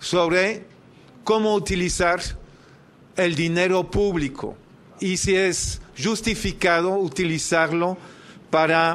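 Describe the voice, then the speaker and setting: A man's high voice at a very slow pace. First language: French (speaking Spanish). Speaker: activist, debt campaign leader. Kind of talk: formal speech at public hearing. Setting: senate committee hearing. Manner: formal.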